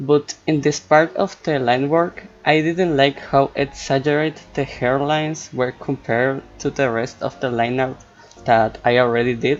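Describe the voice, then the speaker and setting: Talking at a fairly slow pace, a man with a Spanish accent has a medium pitch and ordinary pitch variation. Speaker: art student and cartoonist vlogger. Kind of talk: voiceover commentary over art process. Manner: hesitant, non-native pace.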